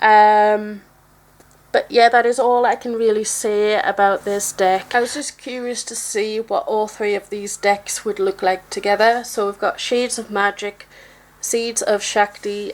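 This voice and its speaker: Speaking at a fairly slow pace, a woman has a fairly high pitch and fairly even intonation. Noticeable background noise can be heard. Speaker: tarot deck reviewer. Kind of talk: casual video review. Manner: halting, stuttering.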